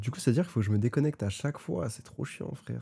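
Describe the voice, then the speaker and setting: In a very clean recording with a silent background, a man speaks. His tone is dark and mellow, and his intonation is lively. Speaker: streamer. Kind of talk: live gaming stream chat. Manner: animated.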